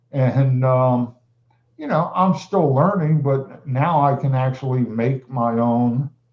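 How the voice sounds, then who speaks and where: A man's somewhat breathy voice at a very slow pace with ordinary pitch variation. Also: medium pitch for a man. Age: 60s. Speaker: music teacher and producer. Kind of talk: casual interview chat. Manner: halting.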